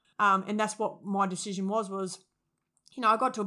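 In an Australian accent, a woman speaks very fast at a medium pitch. Her tone is bright and sharp, and her intonation is fairly even. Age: 30s. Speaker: former high school teacher and youth worker. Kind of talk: interview.

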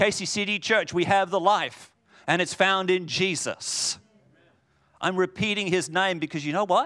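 In a raised, projected voice, a man speaks at a high pitch and moderate pace, with a bright, sharp tone, an animated tone and ordinary pitch variation. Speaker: preacher. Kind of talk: sermon. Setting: church. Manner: loud.

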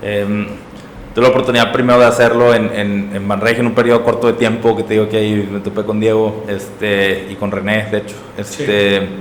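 A man with a northern Mexican accent speaks at a fairly quick pace in a monotone, flat intonation. Noticeable background noise and audible room echo surround his voice. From Mexico, Monterrey. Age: 30s. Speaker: startup executive and entrepreneur. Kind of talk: interview conversation.

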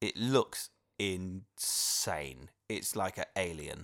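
A man's very deep, low voice with lively intonation, on a very clean recording with a silent background. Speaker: podcast host, expectant father. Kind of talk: casual chat.

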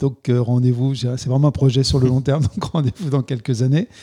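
The man's tone is dark and mellow, his pitch fairly high. He talks at a moderate pace. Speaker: video game company CEO. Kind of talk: interview. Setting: office.

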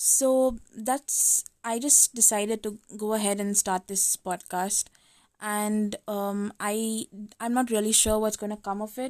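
A woman's plain, everyday voice, fairly high in pitch with fairly even intonation, in a very clean recording with a silent background and a dry, close sound with no echo. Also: fairly slow pace. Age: 20s. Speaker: podcast host. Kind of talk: casual solo monologue. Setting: recording at home at midnight.

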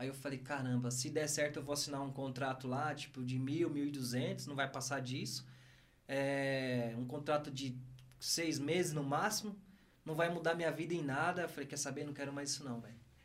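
A man's fairly high voice at a moderate pace, with fairly even intonation and audible room echo. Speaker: former footballer and business executive. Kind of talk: casual interview chat.

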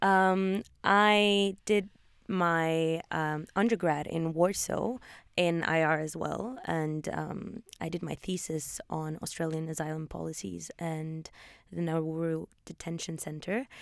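Recorded very cleanly with a silent background, a woman talks at a very slow pace with a fairly low pitch and ordinary pitch variation. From Poland. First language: Polish or Norwegian. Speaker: postgraduate student, podcast co-host. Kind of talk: casual introduction chat; scripted podcast segment.

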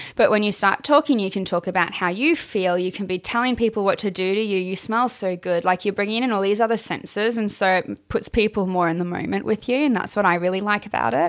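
In an Australian accent, a woman talks at a very fast pace with hardly any pauses, her medium pitch showing ordinary variation. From Queensland, Australia. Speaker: adult film performer. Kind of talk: casual interview chat.

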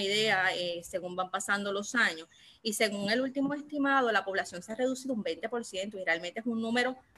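In a plain, everyday voice, a woman speaks at a medium pitch with ordinary pitch variation. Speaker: teacher and political candidate. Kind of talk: political discussion on Facebook Live. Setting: Facebook Live.

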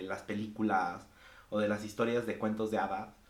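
Audible room echo surrounds a man speaking at a moderate pace with a fairly low pitch. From Mexico. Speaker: podcast guest. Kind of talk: casual chat.

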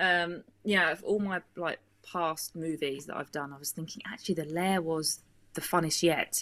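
In a British accent, a woman talks at a moderate pace with fairly even intonation and a bright, sharp tone. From Britain. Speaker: actress and film producer. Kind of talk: casual interview.

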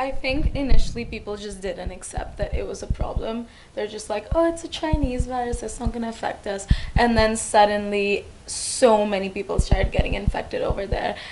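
There is noticeable background noise and big swings in loudness. A woman talks at a fairly quick pace in a fairly high pitch with ordinary variation. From India. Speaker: international university student. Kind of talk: casual chat.

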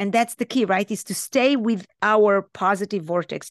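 A woman with an Israeli accent, in a quiet background, with a dry, close sound and no echo. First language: Hebrew. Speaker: life coach. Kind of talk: podcast interview.

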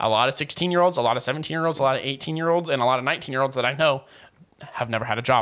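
Talking at a very fast pace, a man with an American accent has an animated tone. His pitch is medium, with ordinary variation. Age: young. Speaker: podcast co-host. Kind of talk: casual chat.

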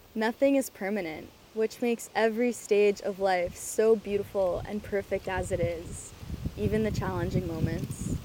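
Noticeable background noise sits behind a woman of medium pitch who talks at a moderate pace with ordinary pitch variation. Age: 20s. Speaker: podcast host. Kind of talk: motivational monologue.

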